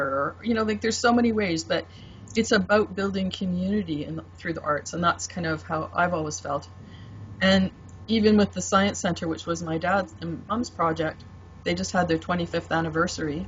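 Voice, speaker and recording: A woman speaks with a Canadian accent. Her pace is fairly quick. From Canada, Vancouver. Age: 60s. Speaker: tarot deck artist. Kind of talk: interview.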